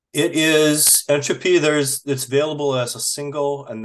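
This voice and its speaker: Against a quiet background, a man with an American accent speaks at a moderate pace. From Minnesota. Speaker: indie rock musician. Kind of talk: interview.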